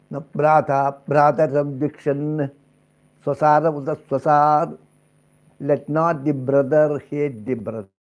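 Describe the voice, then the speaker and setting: A man with an Indian accent speaks at a fairly slow pace, his fairly high pitch following fairly even intonation. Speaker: spiritual teacher. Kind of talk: spiritual discourse.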